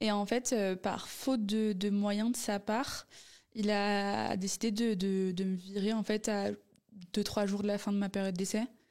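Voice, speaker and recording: Speaking at a fairly slow pace, a woman with a medium-pitched voice holds a monotone, flat intonation and very even loudness, recorded very cleanly against a silent background. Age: 20s. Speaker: business student and entrepreneur. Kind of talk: casual interview.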